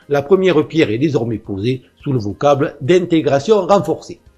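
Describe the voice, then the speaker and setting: Over music in the background, a man talks in a fairly high voice with very wide pitch swings. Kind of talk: political commentary monologue. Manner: fast.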